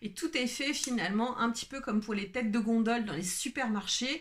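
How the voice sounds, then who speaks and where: A woman's rather high voice, slightly breathy, moves up and down in pitch in a normal way. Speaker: wellbeing coach and video creator. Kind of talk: unscripted solo video talk. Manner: slow; hesitant, many fillers.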